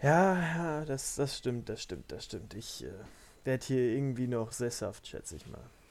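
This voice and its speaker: Speaking at a fairly slow pace, a man uses lively intonation in a medium pitch. His loudness swings a lot. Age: 20s. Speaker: podcast guest, hosts' brother. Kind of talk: casual chat.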